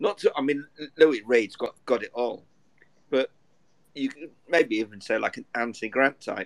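With an English accent, a fairly high-pitched man talks at a moderate pace, leaving long, frequent pauses, in a dry, close recording with no echo. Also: ordinary pitch variation, big swings in loudness. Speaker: debut co-host, football fan. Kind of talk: casual chat.

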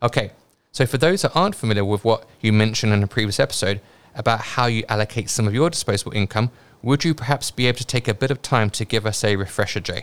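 Delivered at a very fast pace in a British accent, the speech has ordinary pitch variation and a very clean recording with a silent background. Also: man, medium pitch for a man. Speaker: investing podcast host. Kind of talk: casual podcast discussion.

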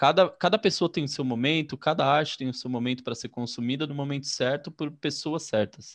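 A man with a fairly high pitch talks at a moderate pace with ordinary pitch variation, against a quiet background. It is a normal speaking voice. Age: 30s. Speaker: podcast host. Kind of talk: casual interview.

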